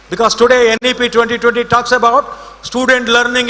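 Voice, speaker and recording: Against noticeable background noise, a man projects a raised voice at an extremely high pitch and a moderate pace. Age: 60s. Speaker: invited speaker at college event. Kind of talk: ceremonial speech.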